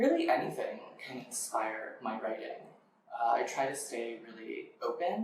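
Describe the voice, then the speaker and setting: The speaker has an American accent and talks at a fairly slow pace, with audible room echo. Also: man. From Western Massachusetts, Amherst. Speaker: poet. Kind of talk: interview. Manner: hesitant with frequent fillers.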